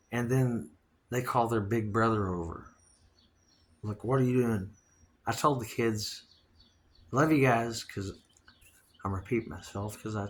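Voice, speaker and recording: At a moderate pace with long, frequent pauses, a man speaks in a somewhat breathy, animated tone at medium pitch with ordinary pitch variation, on a very clean recording with a silent background. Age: 60s. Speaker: podcast host. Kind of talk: casual monologue. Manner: rambling, animated.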